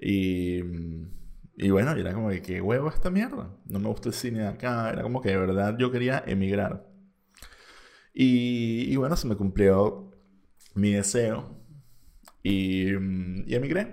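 A man's fairly low voice with a Venezuelan accent, ordinary pitch variation, a fairly slow pace and long, frequent pauses. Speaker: podcaster. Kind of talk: casual monologue. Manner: halting, many repetitions.

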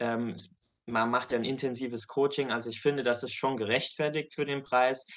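Over a quiet background, a man speaks at a moderate pace in a monotone, flat intonation. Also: medium pitch for a man. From Saarland, Germany. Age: 20s. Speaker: medical student. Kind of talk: testimony. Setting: video call.

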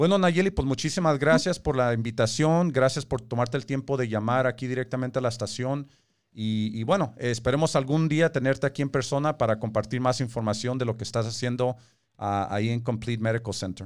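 A man with a plain, everyday voice speaks at a fairly quick pace and a medium pitch, with ordinary pitch variation. The recording is very clean, with a silent background. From born in Mexico, raised in the US. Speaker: radio host, community leader. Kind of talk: radio talk show interview. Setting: radio studio, streamed on Facebook Live.

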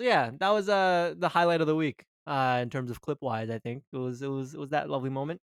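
The speaker talks at a very fast pace with lively intonation and hardly any pauses, on a very clean recording with a silent background and a dry, close sound with no echo. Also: man, fairly high pitch for a man. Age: 20s. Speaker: hockey podcast co-host. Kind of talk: casual chat.

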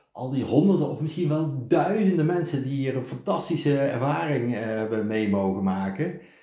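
A man talks at a moderate pace and medium pitch, with lively intonation. Room echo is audible. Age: 50s. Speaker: podcast host's partner, businessman. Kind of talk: casual chat. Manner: halting, frequent repetitions.

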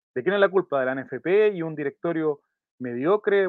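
Someone speaks in an ordinary speaking voice at a moderate pace with ordinary pitch variation. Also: man. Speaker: football podcast host. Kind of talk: scripted narration; casual chat.

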